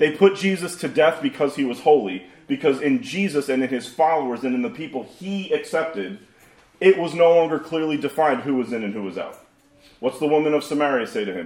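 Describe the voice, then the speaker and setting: A man with a plain, everyday voice, fairly high in pitch, with lively intonation at a fairly quick pace. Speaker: pastor. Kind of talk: sermon. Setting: church.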